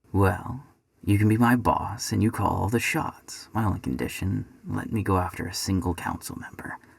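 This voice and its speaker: A put-on character voice from a man, pitched fairly low, moderate in pace. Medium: read story. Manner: casual, cocky.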